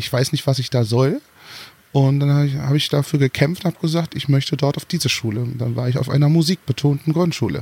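Dry and close with no echo, a man's somewhat breathy, fairly high voice races at a very fast pace with ordinary pitch variation. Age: 30s. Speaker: singer and former drag performer. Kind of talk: interview.

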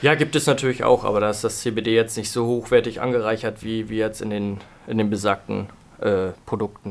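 In a very clean recording with a silent background, a man with a plain, everyday voice talks at a moderate pace and medium pitch, with fairly even intonation. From northern Germany, Hamburg. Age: 20s. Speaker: cannabis shop owner. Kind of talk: interview. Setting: studio.

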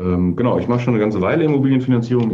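A man speaks over noticeable background noise. The room has an audible echo. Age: 30s. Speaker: mortgage broker, company founder. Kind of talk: interview.

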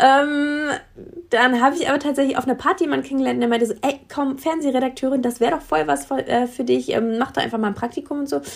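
A woman's high voice at a very fast pace, with ordinary pitch variation. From Berlin area, Germany. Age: 30s. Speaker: illustrator and social media consultant. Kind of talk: casual interview. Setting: remote digital call.

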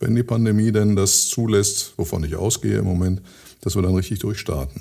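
A man talks at a moderate pace in a dark, mellow tone that is somewhat breathy. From Ruhr area, Germany (Hattingen), teen years in Switzerland. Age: 60s. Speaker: mayor. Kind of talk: interview.

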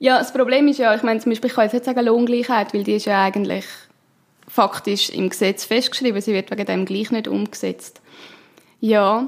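A woman with an unremarkable speaking voice talks at a fairly high pitch. Her pace is fairly quick, and her intonation stays fairly even. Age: 20s. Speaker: politician and union president. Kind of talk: interview.

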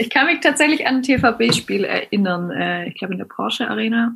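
Fairly quick delivery in an unremarkable speaking voice. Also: woman. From Hohenlohe, southwest Germany. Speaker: schnapps distillery co-founder. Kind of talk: casual interview. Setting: remote call.

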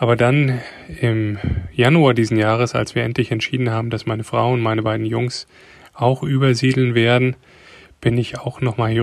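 A man's ordinary speaking voice, medium in pitch, at a moderate pace with fairly even intonation, on a very clean recording with a silent background. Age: 30s. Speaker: car designer and father. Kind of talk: recorded voice message answers. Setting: voice message.

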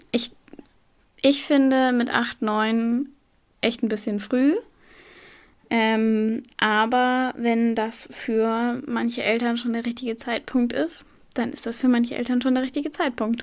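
At a very slow pace, a woman with a high pitch speaks in fairly even intonation, leaving long, frequent pauses. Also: very clean recording, silent background. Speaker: podcast co-host. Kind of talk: casual educational podcast chat.

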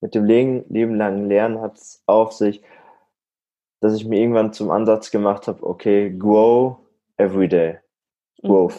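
This man talks at a fairly slow pace in a fairly low pitch. His intonation stays fairly even, broken by long, frequent pauses. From Germany, Münsterland (Warendorf). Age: 20s. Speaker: deputy department head and trainer. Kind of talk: interview.

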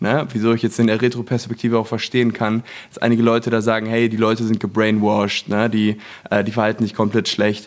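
Here a man talks at a very fast pace. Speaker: branding entrepreneur, former network marketer. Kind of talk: casual chat. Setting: apartment in Los Angeles.

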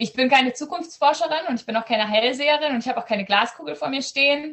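A woman's high-pitched voice, very fast, with lively intonation. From Southern Schleswig, Germany (Danish minority). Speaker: ed-tech startup founder, AI researcher. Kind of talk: video podcast interview. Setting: video call from home.

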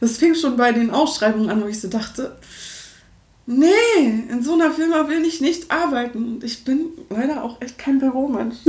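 Ordinary pitch variation, with audible room echo. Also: woman, high pitch for a woman, moderate pace. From Berlin, Germany. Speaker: singer and vocal coach. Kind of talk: interview. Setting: home studio.

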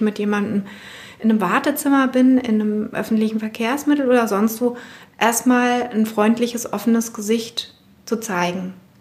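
A woman at a moderate pace, with monotone, flat intonation. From West Berlin (Spandau). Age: 40s. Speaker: personal trainer. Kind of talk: interview. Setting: basement of her studio.

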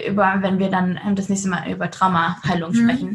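With noticeable background noise behind her, a woman speaks at a medium pitch. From Germany. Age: 20s. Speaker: trafficking survivor and activist. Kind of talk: interview. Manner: lively, upbeat.

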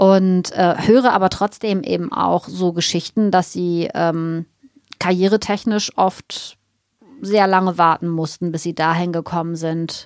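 A woman talks at a fairly slow pace in a normal speaking voice. Her pitch is fairly low and her intonation fairly even. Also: dry, close sound with no echo. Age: 50s. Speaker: naturopath and nutrition expert. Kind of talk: casual interview.

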